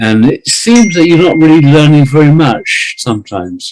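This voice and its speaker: A man with a British accent speaks with very wide pitch swings. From Britain. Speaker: writer and English teacher. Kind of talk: interview. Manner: slow and deliberate; halting, many repeated words.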